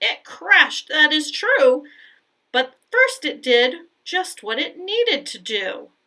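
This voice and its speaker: Using a put-on character voice, a woman speaks high-pitched and fairly slow, with very wide pitch swings and big swings in loudness. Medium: read story.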